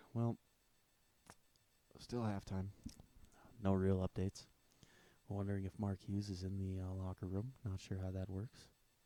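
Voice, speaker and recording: A quiet man with fairly low pitch and a dark, mellow tone speaks at a moderate pace in a monotone, flat delivery. Long, frequent pauses break up his speech, and the sound is dry and close with no echo. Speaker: football fan commentator. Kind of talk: live stream commentary.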